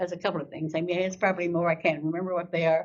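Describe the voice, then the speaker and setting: A somewhat breathy woman's voice at a medium pitch. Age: 90s. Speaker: Gold Star mother and veterans volunteer. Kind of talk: interview storytelling. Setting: school podcast interview. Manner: animated.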